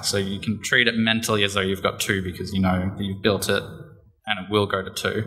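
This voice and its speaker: A fairly low-pitched man with an Australian accent at a fairly quick pace, with audible room echo. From Australia (Geelong, Victoria). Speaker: conference speaker, startup developer. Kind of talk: conference talk; Q&A answer. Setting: stage with audience. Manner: fast.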